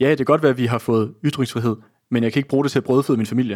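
A man talks at a medium pitch with fairly even intonation. The recording is very clean, with a silent background. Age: 20s. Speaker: socialist newspaper editor. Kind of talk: political discussion. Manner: halting.

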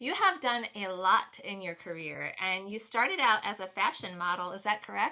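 An ordinary speaking voice talks at a moderate pace with hardly any pauses. Pitch variation is ordinary while the loudness swings widely. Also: woman, medium pitch for a woman. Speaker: podcast host. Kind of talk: casual interview chat.

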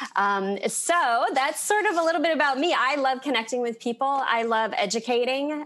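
This woman has an ordinary speaking voice. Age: 40s. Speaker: life coach, former hairstylist. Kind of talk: interview about personal story.

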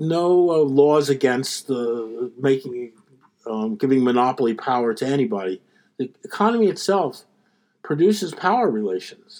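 With a Philadelphia accent, a man talks in a fairly high voice that makes very wide pitch swings. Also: moderate pace. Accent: American, Philadelphia. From US, Philadelphia. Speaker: economics professor. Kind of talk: interview.

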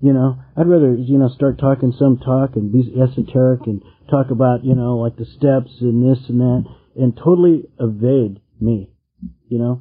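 A man with an American accent talks at a moderate pace and a medium pitch, with fairly even intonation. It is an ordinary speaking voice. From California. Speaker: meeting leader. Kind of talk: recovery meeting share.

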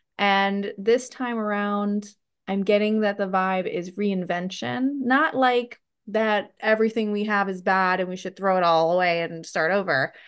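A woman with a normal speaking voice talks at a fairly slow pace, her medium pitch rising and falling in an ordinary way. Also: quiet background. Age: 30s. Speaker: writing coach. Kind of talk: casual chat.

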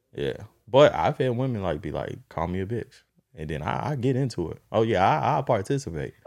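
On a very clean recording with a silent background, a man talks at a fairly quick pace in a fairly low pitch. His voice has vocal fry and very wide pitch swings. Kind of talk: casual chat. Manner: casual, joking.

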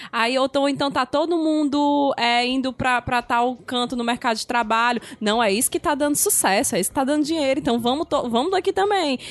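A woman with a high voice talks at a fairly quick pace and lively intonation, hardly pausing, over noticeable background noise. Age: 30s. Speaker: podcast host. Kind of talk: casual chat.

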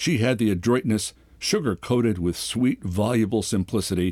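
Someone reads aloud plainly, with normal variation in pitch.

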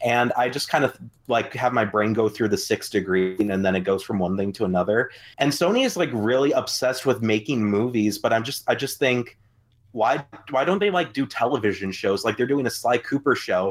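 Fairly quick pace in a plain, everyday voice, pitch variation ordinary. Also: man, medium pitch for a man. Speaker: podcast co-host. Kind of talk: casual chat.

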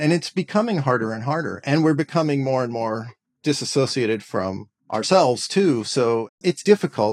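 A man with a normal speaking voice at medium pitch talks with lively intonation, recorded dry and close with no echo and very clean against a silent background. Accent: American. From California Bay Area. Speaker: composer and educator. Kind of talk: interview.

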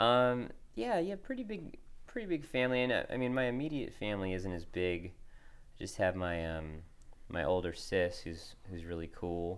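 Lively intonation from a man with a fairly low pitch, at a moderate pace, with audible room echo. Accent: American. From Connecticut, US Northeast. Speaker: singer-songwriter. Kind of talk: interview. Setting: recording studio.

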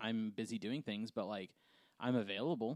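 A man speaks at a fairly quick pace in an ordinary speaking voice, at a medium pitch. The recording is very clean with a silent background and a dry, close sound with no echo. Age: 30s. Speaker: podcast co-host and adoptive father. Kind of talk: casual chat.

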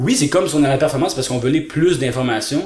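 A man in a Quebec accent with an animated tone and fairly high pitch, over noticeable background noise. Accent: Québécois French. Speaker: speed reading trainer. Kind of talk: casual interview.

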